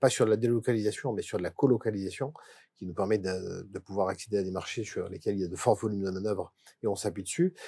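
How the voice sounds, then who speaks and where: A man with a fairly low pitch and a dark, mellow tone talks at a very fast pace, with big swings in loudness. The recording is very clean, with a silent background. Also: ordinary pitch variation. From Drôme-Ardèche, southeastern France. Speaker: company director. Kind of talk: casual chat.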